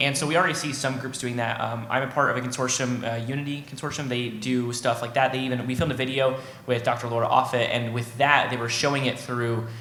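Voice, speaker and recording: A man at medium pitch in monotone, flat intonation, with a very fast pace, hardly any pauses, audible room echo and noticeable background noise. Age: young. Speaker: young vaccine advocate. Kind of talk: panel discussion.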